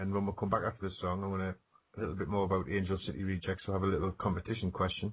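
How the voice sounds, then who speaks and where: A man with an American accent speaks at a very fast pace. His very deep, low voice stays in a monotone, flat intonation. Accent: British accent, noted by US listener. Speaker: radio show host, ghost hunter. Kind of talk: radio interview chat.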